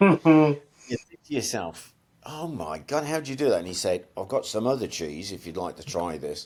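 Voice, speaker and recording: A man talks at medium pitch and a moderate pace, with vocal fry. His pitch swings very widely, and his loudness shifts a lot. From Birmingham, England. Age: 70s. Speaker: longbow archer and army veteran. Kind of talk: casual chat. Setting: podcast interview.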